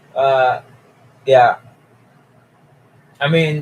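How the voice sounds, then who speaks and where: This is a man's voice, pitched at a medium level. There's some breathiness to it. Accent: American. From Asia. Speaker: live streamer. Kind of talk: casual live stream chat.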